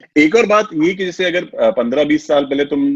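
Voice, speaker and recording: The speaker is a man with an unremarkable speaking voice. He keeps a moderate pace, and his pitch varies in an ordinary way. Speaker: radio host, interviewer. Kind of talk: interview question.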